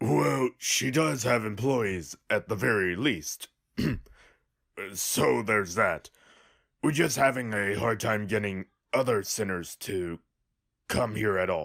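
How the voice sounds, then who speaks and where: A put-on character voice from a man, fairly low in pitch, at a fairly slow pace with long, frequent pauses. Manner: hesitant.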